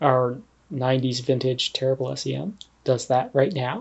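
A man with a Canadian accent and a somewhat breathy, fairly high voice. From Canada, Ontario. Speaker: analytical chemist. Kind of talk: interview.

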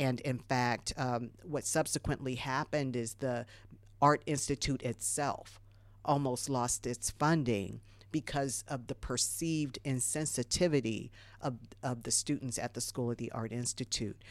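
On a very clean recording with a silent background, a woman with an American accent talks at a fairly slow pace in a very deep, low pitch, with vocal fry and fairly even intonation. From US Midwest (Dayton, Ohio). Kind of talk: radio interview. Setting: studio.

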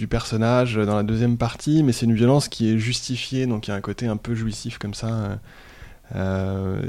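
The man's voice sits at a medium pitch with a dark, mellow tone. He talks at a moderate pace. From France and Sweden (bicultural). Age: 30s. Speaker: headhunter, podcast guest. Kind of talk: casual interview about reading. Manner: hesitant, many repetitions and fillers.

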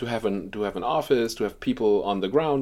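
Here a man speaks at medium pitch with ordinary pitch variation. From Germany. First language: German. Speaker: journalist. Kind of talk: interview. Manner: halting.

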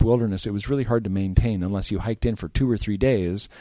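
With an American accent, a man talks in a fairly low pitch and a dark, mellow tone, ordinary pitch variation, on a very clean recording with a silent background. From Eastern California. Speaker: trail organization director. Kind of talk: interview.

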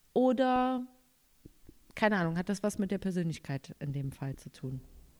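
On a very clean recording with a silent background, a woman speaks at a moderate pace. Her pitch swings very widely. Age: young. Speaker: podcast co-host. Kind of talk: casual chat.

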